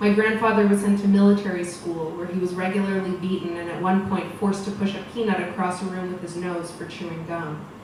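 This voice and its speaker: Hardly pausing, a woman at medium pitch speaks in a monotone, flat way over noticeable background noise. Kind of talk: personal story read at a storytelling event. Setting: live event.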